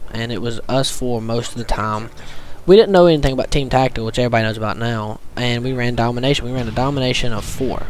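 With a Southern US accent, a man talks at a very fast pace and medium pitch with fairly even intonation, while music plays in the background and the room echo is audible. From US South. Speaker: gaming commentator. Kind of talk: gameplay commentary. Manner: stuttering; casual.

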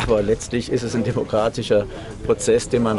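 A man's voice over noticeable background noise. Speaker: football association official. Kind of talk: interview answer. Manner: hesitant, with fillers. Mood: measured, diplomatic. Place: street. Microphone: handheld.

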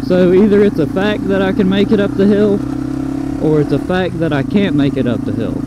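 A man talks at a fairly quick pace in a dry sound with no echo, over loud background noise. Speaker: motorcycle vlogger. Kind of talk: casual vlog chat. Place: motorbike.

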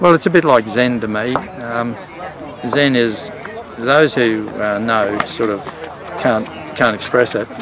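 Noticeable background noise sits behind a man talking at a fairly slow pace. His pitch varies in an ordinary way, and the sound is dry with no echo. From Australia. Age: 60s. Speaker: amateur cricketer. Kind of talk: interview answer. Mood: reflective, calm. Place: open country.

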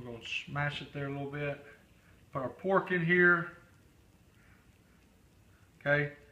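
At a moderate pace, a man speaks with ordinary pitch variation, and audible room echo surrounds his voice. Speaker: fitness meal coach. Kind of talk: cooking tutorial. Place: kitchen. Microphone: camera far.

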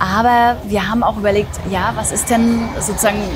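Clear music plays behind a woman speaking at a moderate pace. Her voice sounds dry, with no echo. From East Germany. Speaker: editor. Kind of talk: interview answer. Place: street.

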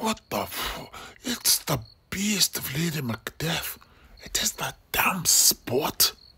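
Whispering slowly, a man puts on a character voice with a husky, rough edge.

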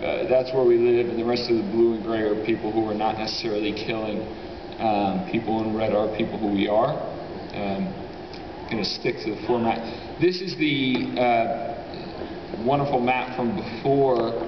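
Noticeable background noise runs behind a man. He talks at a moderate pace with ordinary pitch variation. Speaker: conference presenter. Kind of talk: presentation talk. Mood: casual, joking. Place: hall.

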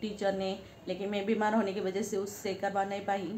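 Audible room echo surrounds a woman at medium pitch. Her tone is slightly mellow, with little pitch movement.

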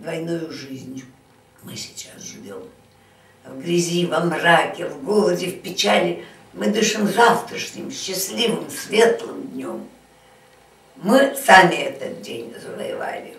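With long, frequent pauses, a woman speaks at a very slow pace amid audible room echo. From Saint Petersburg. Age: 80s+. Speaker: siege survivor. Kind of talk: poetry reading. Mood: solemn, grave. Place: home room. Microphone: camera far.

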